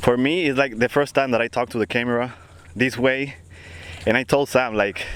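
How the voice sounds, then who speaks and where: Using a Spanish accent, a man at medium pitch speaks at a fairly quick pace with fairly even intonation and very even loudness. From Dominican Republic. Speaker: podcast co-host, architect. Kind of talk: casual chat. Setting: outdoors on a beach.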